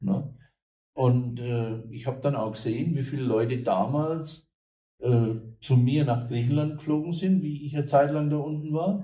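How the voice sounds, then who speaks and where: A man's fairly high, somewhat breathy voice in a dark, mellow tone, with ordinary pitch variation, a moderate pace and audible room echo. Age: old. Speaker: German emigrant and online businessman. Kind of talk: interview.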